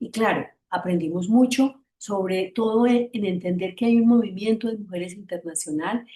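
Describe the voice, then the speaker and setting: A woman speaks with an Antioquian Colombian accent at a medium pitch. Her tone is dark and mellow, and somewhat breathy. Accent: Antioquian Colombian Spanish, noticeable. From Antioquia, Colombia. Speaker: feminist activist, panelist. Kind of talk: panel presentation. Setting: online seminar.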